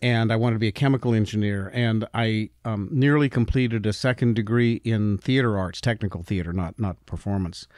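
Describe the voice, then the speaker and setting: An ordinary speaking voice in an American accent, fairly quick with hardly any pauses and ordinary pitch variation. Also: man, medium pitch for a man. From Utah, US. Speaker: company founder and CEO. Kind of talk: interview.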